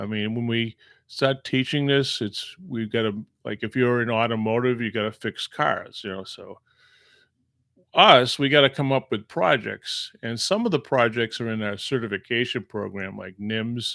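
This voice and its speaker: A bright, sharp tone at a moderate pace, with big swings in loudness and ordinary pitch variation, on a very clean recording with a silent background. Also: man, medium pitch for a man. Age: 60s. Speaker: machining instructor. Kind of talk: casual monologue. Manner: relaxed, hesitant with fillers.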